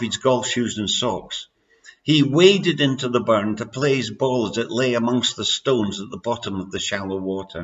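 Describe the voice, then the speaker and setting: A medium-pitched man with a Scottish accent, talking at a fairly slow pace. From Scotland. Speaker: amateur author reading his own story. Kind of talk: reading aloud.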